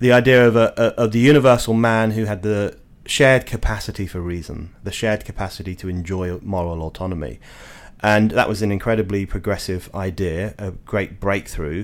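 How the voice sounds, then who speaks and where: A man with an English accent speaks at a fairly quick pace in a fairly low voice with ordinary pitch variation, on a very clean recording with a silent background. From England. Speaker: journalist and editor. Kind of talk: interview.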